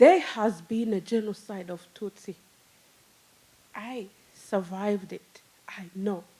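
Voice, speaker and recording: A woman with a Rwandan accent and a dark, mellow tone, at a very slow pace with long, frequent pauses, big swings in loudness and ordinary pitch variation. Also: medium pitch for a woman. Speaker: storyteller. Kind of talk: live storytelling. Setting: stage with audience. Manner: halting.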